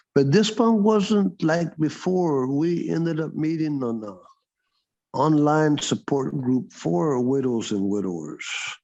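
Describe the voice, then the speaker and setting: Over a quiet background, a man with a Texan accent speaks at a fairly slow pace and fairly high pitch, his dark, mellow voice making very wide pitch swings. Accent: Texan American English. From Texas (Dallas area). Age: 60s. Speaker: former counselor. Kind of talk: interview testimony. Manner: halting.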